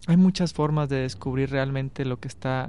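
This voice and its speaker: A man with an unremarkable speaking voice, fairly high pitch and a moderate pace. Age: 30s. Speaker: radio host. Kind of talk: radio interview. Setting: radio studio.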